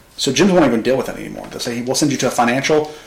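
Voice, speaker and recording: A medium-pitched man with an American accent and ordinary pitch variation, over noticeable background noise. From US South, Arkansas (Pine Bluff area). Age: 20s. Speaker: marketing agency founder. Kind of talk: casual interview chat.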